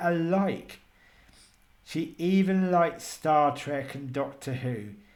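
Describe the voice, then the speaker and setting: There is audible room echo. A man speaks at a fairly high pitch. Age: 60s. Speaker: radio presenter and podcaster. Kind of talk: personal video monologue. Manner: halting.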